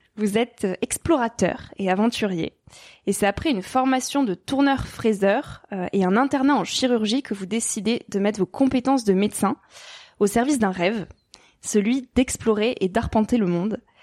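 Heard in a dry, close sound with no echo, a woman with an ordinary speaking voice talks at a moderate pace in a fairly high pitch with ordinary pitch variation. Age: 20s. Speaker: podcast host. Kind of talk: interview.

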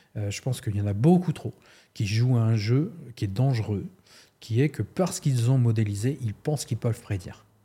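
Speaking at a fairly quick pace, a man with a medium pitch and a dark, mellow, somewhat breathy tone uses lively intonation in a very clean recording with a silent background. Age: 50s. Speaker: sports coach and university lecturer. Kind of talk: casual interview.

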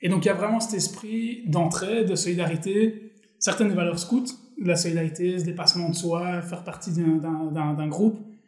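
Over noticeable background noise and audible room echo, a man with a high pitch talks at a moderate pace with fairly even intonation. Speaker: startup co-founder. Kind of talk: casual interview.

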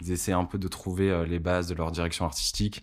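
At a moderate pace, a man speaks in a very deep, low pitch with fairly even intonation on a very clean recording with a silent background. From northern France, Lille. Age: 30s. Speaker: music distribution executive. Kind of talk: interview.

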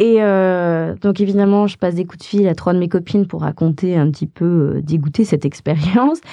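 A woman speaks at a moderate pace with hardly any pauses, her fairly low voice dark and mellow in tone. Her pitch varies an ordinary amount. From France, Haute-Savoie. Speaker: actress and producer. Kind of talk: interview storytelling. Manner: hesitant, many fillers.

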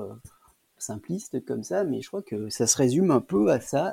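The speech moves fairly slowly. Its tone is dark and mellow. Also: man. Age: 40s. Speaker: IT worker and home gardener. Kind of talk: interview testimony. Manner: halting, many hesitations.

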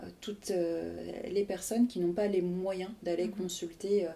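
This woman has a dark, mellow tone at a medium pitch. Her intonation stays fairly even. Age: 40s. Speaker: association president and co-founder. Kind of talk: interview. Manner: hesitant, many fillers.

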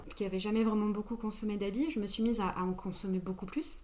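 Audible room echo is present. Through it, a woman talks. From France, Grenoble. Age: 30s. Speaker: co-founder of an ethical e-commerce platform. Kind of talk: casual interview.

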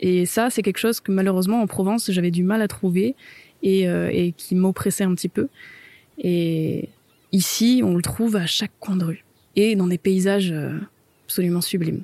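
A woman with a dark, mellow tone and medium pitch speaks at a moderate pace with long, frequent pauses, very even loudness and ordinary pitch variation, in a dry, close sound with no echo. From southern France. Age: 20s. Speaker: photographer. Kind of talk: interview testimony.

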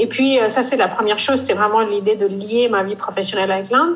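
The speaker has an Indian accent and ordinary pitch variation. Noticeable background noise runs under the voice. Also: woman. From northeast India. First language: Indian language (speaking French). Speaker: fashion and textile brand founder. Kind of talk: interview.

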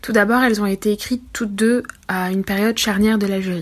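Her speech is monotone and flat, as this woman talks at a medium pitch and a moderate pace. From France. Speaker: literature teacher and researcher. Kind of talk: recorded commentary.

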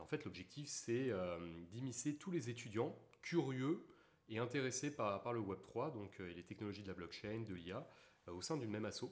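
A man with an ordinary speaking voice talks at a moderate pace, with medium pitch and lively intonation. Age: 20s. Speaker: engineering student and blockchain entrepreneur. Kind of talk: casual interview chat.

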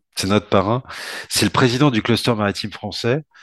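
A man is speaking. The background is quiet. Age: 40s. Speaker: port industry association head. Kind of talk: casual podcast interview. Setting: remote call from home. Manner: halting, repeats words.

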